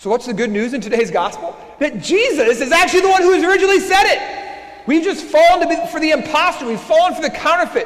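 A man talks at a very fast pace with hardly any pauses. His pitch is extremely high and swings very widely. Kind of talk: Sunday homily preached at Mass, building to an urgent warning. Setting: church during Mass. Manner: impassioned, repeating phrases as he presses a point; conversational asides mixed with rhetorical questions. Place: church. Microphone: lapel.

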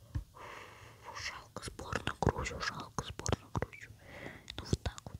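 Very slow whispering comes through against noticeable background noise. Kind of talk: casual gaming commentary.

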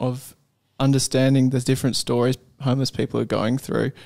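The man's voice sits at a medium pitch, and the background is quiet. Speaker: podcast co-host. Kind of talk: casual conversation. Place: studio. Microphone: studio mic.

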